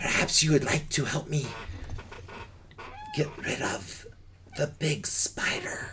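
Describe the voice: A man uses a raspy, put-on character voice. He leaves long, frequent pauses over clear background noise. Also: fairly high pitch for a man, fairly slow pace.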